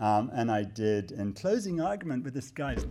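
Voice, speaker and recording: A man in a British accent speaks with lively intonation. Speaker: human rights lawyer. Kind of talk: live talk to an audience. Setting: stage with audience. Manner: animated, joking.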